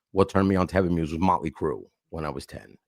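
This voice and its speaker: On a very clean recording with a silent background and a dry, close sound with no echo, a man with a New York accent speaks in a very deep, low pitch. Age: 50s. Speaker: hardcore and hip hop vocalist. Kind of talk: casual interview.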